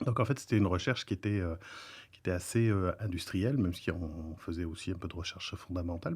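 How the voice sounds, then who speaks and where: This man's very deep, low voice holds a fairly even intonation. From France. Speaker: professor and researcher. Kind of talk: podcast interview. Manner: hesitant, many filler sounds.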